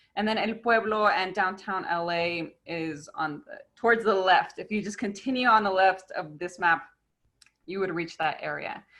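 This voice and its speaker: A woman's normal speaking voice, medium in pitch with ordinary pitch variation, at a fairly slow pace. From US, Mexican-American family. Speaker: park educator. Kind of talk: online presentation. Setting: video call.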